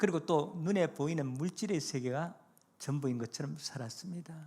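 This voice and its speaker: Here a man with a fairly high pitch has a dark, mellow tone. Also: ordinary pitch variation, moderate pace. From South Korea, North Gyeongsang (Gumi countryside). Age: 70s. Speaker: retired pastor. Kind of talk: evangelistic sermon with life testimony.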